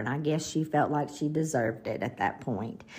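With a Southern US accent, a woman talks in a dark, mellow tone and lively intonation. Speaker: podcast host. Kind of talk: scripted-style podcast narration with casual chat.

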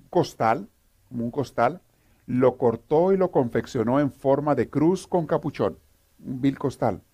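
Someone reads aloud in a natural voice.

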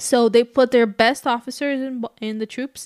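A woman with a Portuguese accent talks with fairly even intonation in a dry, close recording with no echo, very clean and with a silent background. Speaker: true crime podcast co-host. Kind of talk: casual chat.

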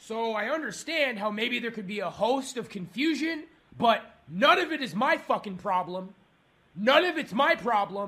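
A man shouting in an angry tone, raised and projected, extremely high-pitched with a bright, sharp tone, lively intonation and a moderate pace, on a very clean recording with a silent background. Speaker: angry customer. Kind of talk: heated complaint call. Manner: angry, shouting.

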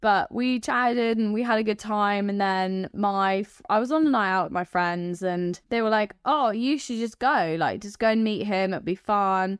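Against a quiet background, a woman speaks at a moderate pace with hardly any pauses, her medium pitch showing ordinary variation. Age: 20s. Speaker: dating show contestant. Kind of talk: casual chat. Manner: animated, laughing often.

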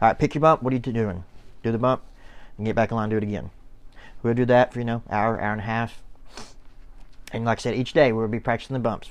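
Over a quiet background, a man at medium pitch talks very fast with fairly even intonation, broken by long, frequent pauses. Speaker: wrestling podcast co-host, former referee. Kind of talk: casual podcast chat with swearing. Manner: fast talker.

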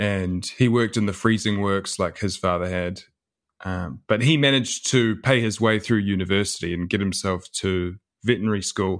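A man speaks with a New Zealand accent at fairly low pitch and a fairly quick pace. His pitch variation is ordinary, and the recording is very clean with a silent background. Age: 30s. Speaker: author and historian. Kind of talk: interview. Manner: halting, frequent repetitions.

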